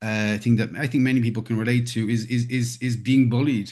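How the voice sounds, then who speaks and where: Speaking at a moderate pace, a man has an Irish accent and a medium pitch. His intonation stays monotone and flat. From Ireland. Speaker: conflict management trainer. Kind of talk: interview. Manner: halting, many repetitions and fillers.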